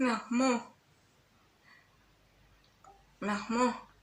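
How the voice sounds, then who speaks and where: Doing a put-on character voice, the speaker sounds nasal, with a fairly high pitch and monotone, flat intonation. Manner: mocking, unintelligible.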